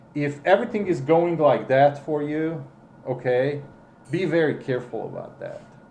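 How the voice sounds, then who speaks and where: Through audible room echo, a man with a non-native accent and a dark, mellow, somewhat breathy tone speaks at a moderate pace with ordinary pitch variation and big swings in loudness. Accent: foreign accent in English. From Romania, Hungarian minority. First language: Hungarian. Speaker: interviewee, father of the interviewers. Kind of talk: family interview. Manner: halting, with many repeats and fillers.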